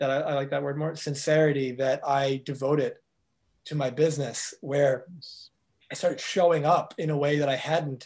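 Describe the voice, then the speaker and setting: A man with a fairly high-pitched voice. He sounds somewhat breathy and talks at a moderate pace. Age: 30s. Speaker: life coach. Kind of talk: interview.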